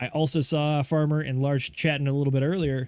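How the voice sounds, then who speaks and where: The recording is very clean, with a silent background. A man speaks fairly quickly at a fairly high pitch, flat and monotone. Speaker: livestream co-host reading chat. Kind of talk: casual livestream chat. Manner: fast.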